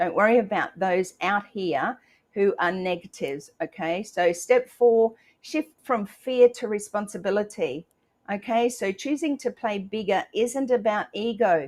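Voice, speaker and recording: With an Australian accent, a woman of medium pitch speaks at a fairly slow pace with lively intonation. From Australia, rural Queensland. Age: 60s. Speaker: motivational live streamer and author. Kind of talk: motivational live stream talk. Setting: live stream. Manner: animated.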